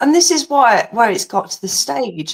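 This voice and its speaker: Here is a woman with an English accent. Her pitch swings very widely at a moderate pace. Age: 50s. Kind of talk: casual chat.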